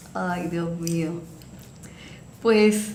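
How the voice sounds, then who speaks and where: A woman talks with audible room echo around her. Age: 60s. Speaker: municipal health program coordinator. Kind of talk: interview.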